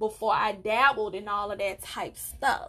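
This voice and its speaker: With an American accent, a woman speaks in an animated tone at a moderate pace, her pitch varying in an ordinary way. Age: 20s. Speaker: podcast host. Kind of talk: casual solo podcast monologue. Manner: animated, chatty.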